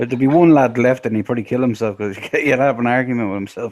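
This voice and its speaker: With an Irish accent, a man speaks at a very fast pace with ordinary pitch variation. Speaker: streamer. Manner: crude, joking.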